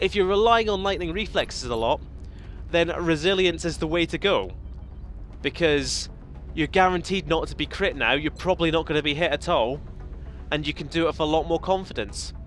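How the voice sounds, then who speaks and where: With music in the background, a man talks at a fairly quick pace broken by long, frequent pauses. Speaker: gaming video creator. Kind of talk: let's play commentary. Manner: animated.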